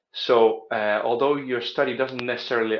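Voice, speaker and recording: A man talks at a fairly quick pace with a Dutch accent. His pitch is medium. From Netherlands. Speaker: study abroad advisor. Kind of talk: informational talk to camera. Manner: hesitant, many filler sounds.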